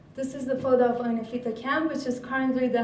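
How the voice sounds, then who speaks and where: At a fairly quick pace, the speaker talks in a flat monotone over noticeable background noise. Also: woman. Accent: Iranian. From Iran. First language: Persian. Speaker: graduate student researcher. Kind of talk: conference talk.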